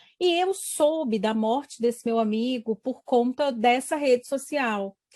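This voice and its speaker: A woman's high voice at a fairly slow pace with ordinary pitch variation, on a very clean recording with a silent background. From Brazil, Espírito Santo. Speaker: university professor. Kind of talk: interview.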